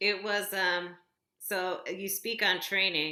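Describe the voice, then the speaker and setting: A woman speaks at a very slow pace in a bright, sharp tone. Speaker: classical vocalist. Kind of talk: interview conversation.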